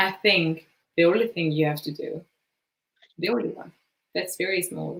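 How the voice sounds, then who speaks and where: Using vocal fry, a woman with fairly low pitch talks at a moderate pace with ordinary pitch variation and long, frequent pauses. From Italy, Bergamo province. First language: Italian. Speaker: design manager. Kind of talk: conference Q&A. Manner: hesitant, many fillers.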